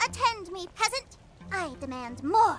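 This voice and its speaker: A female-sounding, extremely high-pitched put-on character voice speaks at a moderate pace. Clear music plays in the background. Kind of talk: archaic, noble-sounding. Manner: arrogant, haughty.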